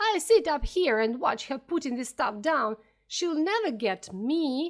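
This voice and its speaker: A woman's shrill, high-pitched put-on character voice at a fairly slow pace, on a very clean recording with a silent background. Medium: read story. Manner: rude, possessive.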